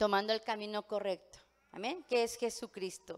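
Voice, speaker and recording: A woman speaks at a moderate pace. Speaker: pastor. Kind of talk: sermon. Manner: many fillers and hesitations.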